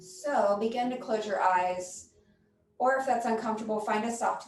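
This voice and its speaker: Audible room echo surrounds a woman speaking at a moderate pace in a fairly high pitch. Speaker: yoga instructor. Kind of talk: guided yoga class with meditation. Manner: loud.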